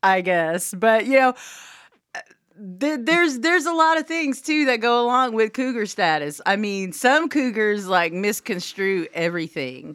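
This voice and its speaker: A woman with a Southern Oklahoma accent speaks at a fairly slow pace in a fairly high pitch, her voice making very wide pitch swings. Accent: Southern Oklahoma country. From Southwest Oklahoma. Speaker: radio host. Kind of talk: casual chat.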